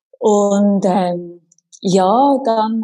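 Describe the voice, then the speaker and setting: A woman's voice with a dry, close sound and no echo. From Switzerland, Winterthur. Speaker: fitness instructor. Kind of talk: casual chat.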